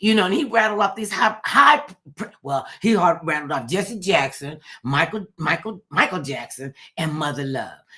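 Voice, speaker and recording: A woman speaks loudly in an animated tone with very wide pitch swings. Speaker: talk show host. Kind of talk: casual chat.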